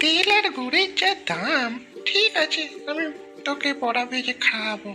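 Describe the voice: A cartoonish character voice from a woman, high-pitched, at a moderate pace, with clear music in the background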